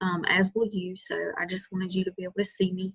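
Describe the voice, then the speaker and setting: Soft-spoken, a woman talks at medium pitch. Her pace is moderate. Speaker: lab instructor. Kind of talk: recorded lecture. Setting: video call recording at home.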